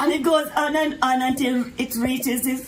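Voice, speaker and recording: Noticeable background noise and audible room echo surround a woman who talks at a very slow pace. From Jamaica. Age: 90s. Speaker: retired elder. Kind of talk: personal storytelling.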